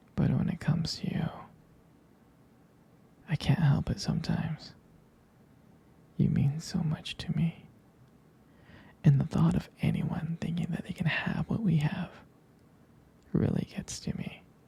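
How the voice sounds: A man's put-on character voice in a whisper, husky and rough-edged with vocal fry, at a fairly slow pace broken by long, frequent pauses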